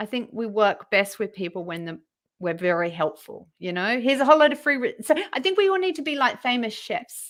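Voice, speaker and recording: A woman with an Australian accent, a high pitch, very wide pitch swings and a fairly quick pace. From Western Australia. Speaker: LinkedIn profile writer and trainer. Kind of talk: interview.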